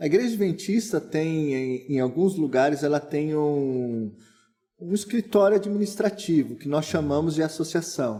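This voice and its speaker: The clip features an ordinary speaking voice at a fairly slow pace. Its intonation is lively. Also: man, fairly high pitch for a man. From Brazil, São Paulo state (Santo André). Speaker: pastor. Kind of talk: casual interview.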